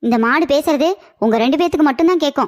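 In a cartoonish character voice, a woman talks at a high pitch and moderate pace with ordinary pitch variation. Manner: stern, matter-of-fact.

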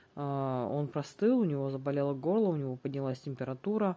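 Woman's voice, very deep and low in pitch, dark and mellow in tone, with ordinary pitch variation. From Russia. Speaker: family vlogger. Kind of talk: casual vlog monologue; tutorial. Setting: at home. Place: home room.

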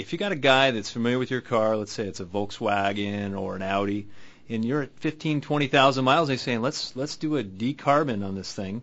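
An ordinary speaking voice from a man, medium in pitch, moderate in pace, with ordinary pitch variation. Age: 30s. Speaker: radio host. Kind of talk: call-in radio show. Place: studio.

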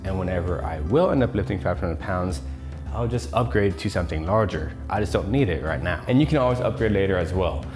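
Clear music plays in the background as a man speaks at a fairly quick pace. His pitch is very deep and low. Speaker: fitness vlogger. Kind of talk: casual vlog chat. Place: home room. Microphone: lapel.

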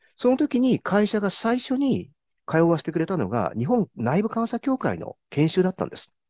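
Against a quiet background with dry sound and no echo, a man speaks at a moderate pace in a high-pitched, dark, mellow voice with very wide pitch swings. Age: 50s. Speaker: corporate internal auditor; interviewee. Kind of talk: interview. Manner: formal. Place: home room. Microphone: video call.

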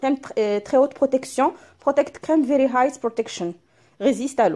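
At a moderate pace, a woman talks in a dark, mellow tone, high in pitch with lively intonation. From Morocco. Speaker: beauty YouTuber. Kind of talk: product unboxing vlog. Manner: switches between Darija and French. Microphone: phone near.

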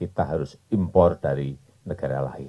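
A man talks at a fairly slow pace in a dark, mellow tone. The background is quiet. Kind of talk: press statement. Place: open country. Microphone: podium.

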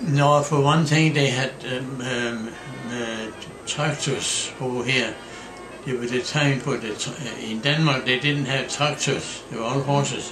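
Over noticeable background noise, a man talks at a fairly slow pace and medium pitch with fairly even intonation. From Denmark. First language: Danish. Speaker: farmer. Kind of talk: interview answer. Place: kitchen. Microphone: camera far.

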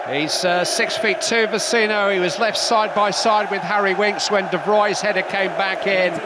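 Through noticeable background noise, a man uses a raised, projected voice at a high pitch and a moderate pace, with ordinary pitch variation. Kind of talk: live football commentary, highlights reel.

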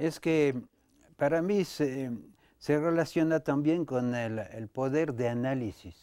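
A man speaks with a French accent at a very slow pace, his fairly high pitch carrying a dark, mellow tone. His pitch varies in an ordinary way, and the sound is dry with no echo against a quiet background. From France. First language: French (speaking Spanish). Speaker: dancer and choreographer, dance company director; guest. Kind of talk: interview conversation. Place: studio.

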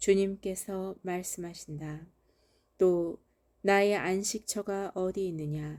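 A woman's dark, mellow, medium-pitched voice at a very slow pace with fairly even intonation. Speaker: Bible reader. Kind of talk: reading aloud. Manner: formal.

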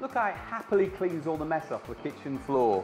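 Over music in the background, a man with a high pitch speaks at a fairly quick pace, his upbeat, enthusiastic tone swinging very widely in pitch. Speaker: presenter. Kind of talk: TV infomercial presentation.

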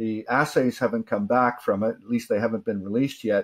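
A man is talking. Nothing much sounds behind him, as the background is quiet. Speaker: presenter. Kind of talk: lecture. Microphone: webcam.

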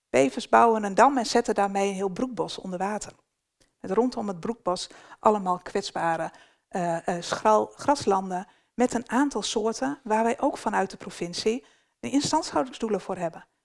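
With lively intonation, a woman speaks at a moderate pace against a quiet background. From northern Netherlands. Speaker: beaver management ecologist; presenter. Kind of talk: workshop presentation. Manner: hesitant, many filler sounds. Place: hall.

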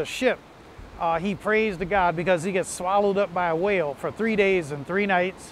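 A warm tone with ordinary pitch variation, dry with no echo, over light background noise. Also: man. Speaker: pastor. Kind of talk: short sermon preview and worship invitation. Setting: video message before online worship. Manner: warm, earnest, pastoral; conversational, with occasional filler pauses. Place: beach. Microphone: lapel.

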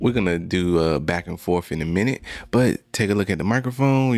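The recording is dry with no echo as a man with a fairly low pitch talks at a moderate pace. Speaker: tech reviewer. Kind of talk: product review tutorial. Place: studio. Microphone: studio mic.

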